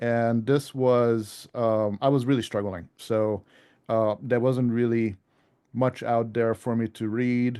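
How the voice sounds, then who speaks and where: A man's dark, mellow tone at medium pitch, flat and monotone, at a fairly slow pace over a quiet background. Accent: slight European. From Europe. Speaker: ham radio author. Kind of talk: club presentation. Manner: hesitant, many fillers.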